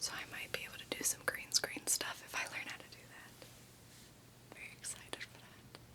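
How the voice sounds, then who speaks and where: With noticeable background noise behind it, a whisper proceeds at a moderate pace. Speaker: ASMR creator. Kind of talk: ASMR whispered ramble. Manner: whispered.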